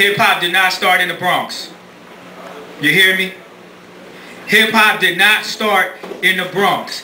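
A man speaks in a raised, projected voice at a fairly slow pace, with audible room echo and light background noise. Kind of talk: oratory to a live audience. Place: stage. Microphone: camera far.

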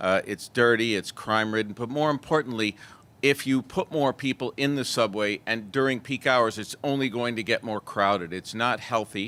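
A man with a New York accent speaks at a moderate pace and medium pitch. His tone is bright and sharp, with ordinary pitch variation. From New York City, Manhattan. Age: 50s. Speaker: member of the public. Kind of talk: public comment testimony.

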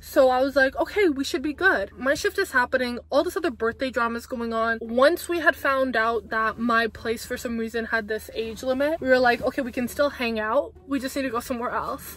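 Animated in tone, the voice runs at a fairly quick pace with hardly any pauses and ordinary pitch variation, dry with no echo over light background noise. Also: woman, high pitch for a woman. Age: 20s. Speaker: vlogger. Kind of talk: casual storytime talk to camera. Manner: chatty, animated. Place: car. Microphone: phone near.

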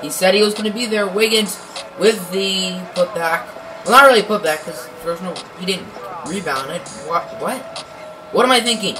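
Speech moves at a moderate pace. Clear music plays in the background. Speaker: gamer. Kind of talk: casual game commentary. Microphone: phone near.

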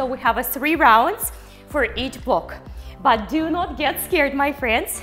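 Over faint music in the background, a woman with a high pitch speaks at a fairly slow pace. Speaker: fitness instructor. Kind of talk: workout instruction. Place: studio.

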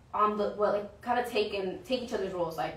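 A woman's medium-pitched voice with an American accent, fast and with ordinary pitch variation, plus audible room echo

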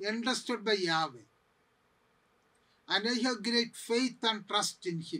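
A raised, projected voice with a bright, sharp tone moves at a very slow pace. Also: man. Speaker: priest bible teacher. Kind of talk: lecture. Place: studio.

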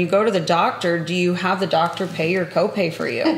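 A woman talks at a fairly quick pace, with audible room echo. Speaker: podcast host. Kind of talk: casual interview. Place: home room.

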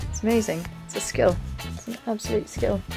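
A woman's voice over clear background music. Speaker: travel vlogger. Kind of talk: casual vlog chat. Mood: cheerful, amused. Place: home room. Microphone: phone near.

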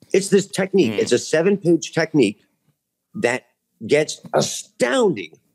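A man's voice with vocal fry swings very widely in pitch against a quiet background. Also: very even loudness. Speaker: UFO researcher; podcast guest. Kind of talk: casual chat. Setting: video call. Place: home room. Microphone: video call.

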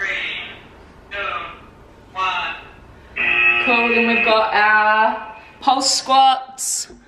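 A woman speaks at a very slow pace with ordinary pitch variation, her voice carrying audible room echo over loud background noise. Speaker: fitness creator. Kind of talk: workout tutorial. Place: home room. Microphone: camera far.

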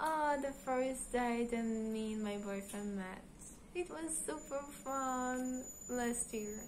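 Over light background noise, a woman speaks at a very slow pace and a high pitch, with ordinary pitch variation. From Israel. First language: Hebrew. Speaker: gaming YouTuber. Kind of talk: casual vlog Q&A. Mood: cheerful, playful. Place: home room. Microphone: phone near.

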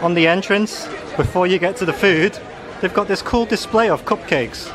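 A man talks at a moderate pace. Crowd noise can be heard in the background. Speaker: travel vlogger. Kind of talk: casual vlog chat. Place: cafe. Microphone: phone near.

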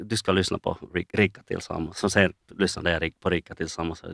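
Fairly low male voice, pitch varying in an ordinary way. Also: dry, close sound with no echo, very clean recording, silent background. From Finland. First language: not Swedish; Swedish is his third language (speaking Swedish). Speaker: finance professional, lawyer and community member. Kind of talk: interview. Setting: studio visit. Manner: halting, many repetitions and fillers.

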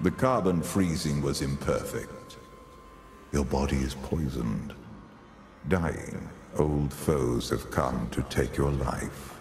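A man in a put-on character voice speaks at a fairly slow pace, with clear echo and clear background noise around him. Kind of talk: formal, archaic pronouncement. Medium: audio drama. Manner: calm, measured, manipulative; cryptic, commanding.

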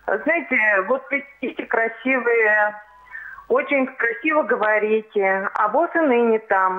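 Over noticeable background noise, a woman speaks very slowly at a fairly high pitch. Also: ordinary pitch variation. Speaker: viewer calling in. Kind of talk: phone-in complaint. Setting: phone call.

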